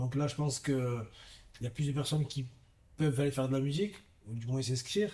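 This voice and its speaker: A man's medium-pitched, somewhat breathy voice with a dark, mellow tone, ordinary pitch variation and a very fast pace. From southern France, Gard (Vauvert). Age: 30s. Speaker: professional boxer. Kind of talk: interview testimony. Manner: halting, many fillers.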